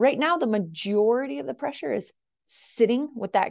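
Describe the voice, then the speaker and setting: A woman with an American accent speaks at a moderate pace over a quiet background. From far northern California, rural mountain country. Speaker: agricultural sustainability scientist, university research director. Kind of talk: interview.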